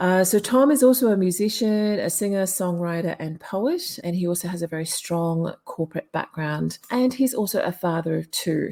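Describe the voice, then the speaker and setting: A woman speaks at a moderate pace and medium pitch, with lively intonation. She hardly pauses at all, and background noise is noticeable. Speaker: podcast host. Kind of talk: podcast introduction. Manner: upbeat.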